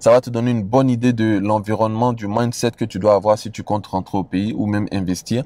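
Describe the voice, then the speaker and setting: A man speaks at a fairly quick pace with a dark, mellow tone and ordinary pitch variation. The sound is dry with no echo. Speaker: investment advice creator. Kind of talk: casual vlog chat. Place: car.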